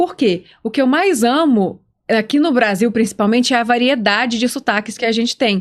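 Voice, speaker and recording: Speaking in a Minas Gerais accent, a woman uses a fairly high pitch, ordinary pitch variation and a moderate pace. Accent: mineiro (Minas Gerais). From Minas Gerais, Brazil. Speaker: podcast host. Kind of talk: casual podcast conversation.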